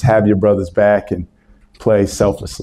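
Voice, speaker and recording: Against a quiet background, a man with an American accent talks at a moderate pace in a dark, mellow tone. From Maryland, US. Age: 30s. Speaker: college basketball coach; basketball coach, guest. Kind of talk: speech with audience Q&A. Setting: stage with audience. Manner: animated. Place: meeting room. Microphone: handheld.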